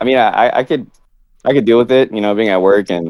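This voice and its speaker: The man's medium-pitched voice goes fairly quickly, varying in pitch in an ordinary way. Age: 20s. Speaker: caller. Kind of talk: casual chat. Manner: halting.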